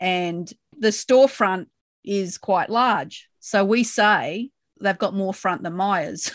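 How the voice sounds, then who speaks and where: A woman speaks very slowly, her pitch in the middle of her range and with an Australian accent. Her intonation rises and falls in an ordinary way, and the sound is dry and close with no echo. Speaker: podcast co-host discussing a TV show. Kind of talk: casual chat.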